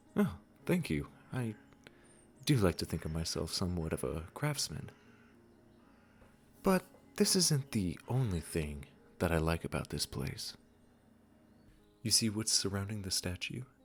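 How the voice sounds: A man puts on a character voice, pitched low, with big pitch swings. He talks at a fairly slow pace with long, frequent pauses.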